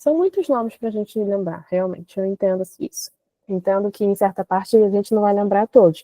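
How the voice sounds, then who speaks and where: At a moderate speed, a woman talks in a medium pitch. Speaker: chemistry teacher. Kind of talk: online class lecture. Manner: animated.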